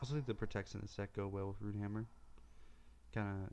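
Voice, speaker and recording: Soft-spoken, the man uses a fairly low pitch and fairly even intonation. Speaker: card game streamer. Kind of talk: gameplay commentary. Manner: soft-spoken, speaking quietly.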